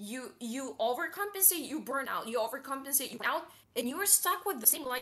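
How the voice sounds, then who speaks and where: Over noticeable background noise, a woman speaks in a raised, projected voice at a fairly quick pace and high pitch. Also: lively intonation. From Eastern Europe, small town. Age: 20s. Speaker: stream guest seeking advice. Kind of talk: personal conversation about struggles. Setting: online stream call. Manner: halting, many fillers and repeats.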